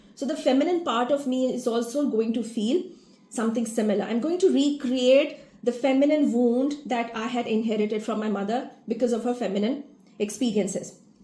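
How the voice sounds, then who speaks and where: A woman with a high pitch and a dark, mellow tone speaks at a fairly quick pace with ordinary pitch variation, and the room echo is audible. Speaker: family constellation facilitator. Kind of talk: awareness talk to an online group. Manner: fast.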